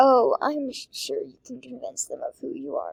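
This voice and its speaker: Using a put-on character voice, a woman speaks at a moderate pace. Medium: read story. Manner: composed, self-assured.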